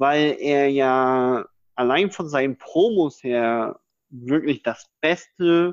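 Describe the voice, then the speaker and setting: Recorded dry and close with no echo over a quiet background, a man speaks at medium pitch with ordinary pitch variation. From northeastern Germany. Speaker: podcast co-host. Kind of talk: casual chat.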